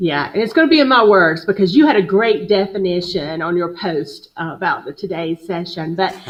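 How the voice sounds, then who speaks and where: The voice carries a Southern US accent. Its intonation is lively. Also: woman, medium pitch for a woman, hardly any pauses. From US South, upstate South Carolina (Greenville). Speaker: HR business founder, guest speaker. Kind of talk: interview on live video show. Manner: slow.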